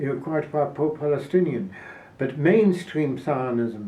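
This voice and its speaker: Audible room echo surrounds a man whose fairly high voice is somewhat breathy. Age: 90s. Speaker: Holocaust survivor and activist. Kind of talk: interview. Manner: halting.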